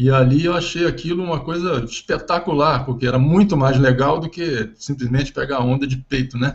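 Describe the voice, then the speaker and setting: A somewhat breathy man with a fairly high pitch, ordinary pitch variation and a moderate pace. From Brazil, Rio de Janeiro (Ipanema). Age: 60s. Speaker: ocean engineering professor. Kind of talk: interview.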